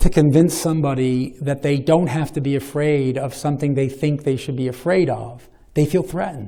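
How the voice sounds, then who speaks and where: At a moderate pace, a man with an American accent speaks in a dark, mellow tone at a fairly high pitch with ordinary pitch variation. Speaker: professor of religious studies. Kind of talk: Q&A after a lecture. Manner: halting, with many repetitions; long-winded.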